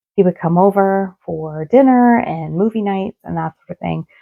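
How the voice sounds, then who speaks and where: A woman speaks at a fairly slow pace in a dry, close sound with no echo. Music plays in the background. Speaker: paranormal storyteller. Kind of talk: casual talk to camera.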